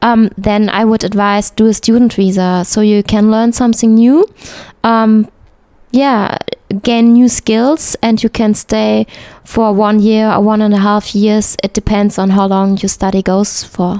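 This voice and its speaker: In a German accent, a woman speaks at a fairly slow pace with a dark, mellow tone, fairly high pitch, flat monotone intonation and very even loudness. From Germany, north-west (Hamm). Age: 30s. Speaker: textile engineer. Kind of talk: interview. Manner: hesitant, frequent fillers.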